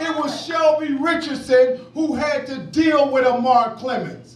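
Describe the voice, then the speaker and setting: Loud and at a fairly slow pace, the speaker uses an American accent with ordinary pitch variation against noticeable background noise. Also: man. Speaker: criminal justice activist, former prisoner. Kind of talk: award acceptance speech. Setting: award ceremony with audience. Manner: impassioned.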